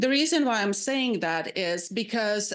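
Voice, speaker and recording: A woman speaks with a Slovak accent. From Slovakia. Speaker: psychiatrist and residency faculty. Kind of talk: panel presentation. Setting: public advisory panel meeting. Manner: halting, with many fillers.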